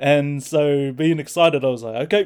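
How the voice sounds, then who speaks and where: Here a man is speaking. He has a New Zealand accent. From New Zealand, Hamilton. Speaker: prospective missionary, young church member. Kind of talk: personal testimony in casual chat.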